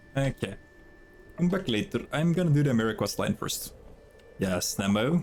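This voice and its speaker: A man's voice with very wide pitch swings and long, frequent pauses, music in the background. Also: fairly high pitch for a man, moderate pace. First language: Norwegian. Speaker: video game streamer. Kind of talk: casual chat. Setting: live stream.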